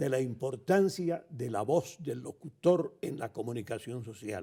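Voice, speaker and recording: The delivery comes at a fairly slow pace in a dark, mellow tone that is somewhat breathy. Intonation stays lively throughout. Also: man. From Colombia. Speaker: veteran radio announcer. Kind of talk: interview answer.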